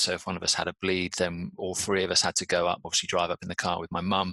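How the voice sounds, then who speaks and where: A man with a British accent speaks at a very fast pace in a very deep, low pitch and a bright, sharp tone. His intonation is monotone and flat, and the sound is dry and close with no echo. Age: 40s. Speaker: patient advocate and endurance athlete. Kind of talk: interview.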